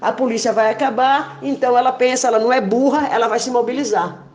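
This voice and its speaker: With an animated tone, a woman speaks at a moderate pace and a fairly high pitch. Audible room echo and noticeable background noise surround her voice. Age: 60s. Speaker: protester. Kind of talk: voice message rant.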